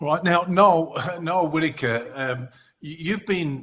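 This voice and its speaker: Speech comes at a fairly slow pace. It is delivered in an Australian accent. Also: man. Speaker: advocacy organisation host. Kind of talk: webinar moderation.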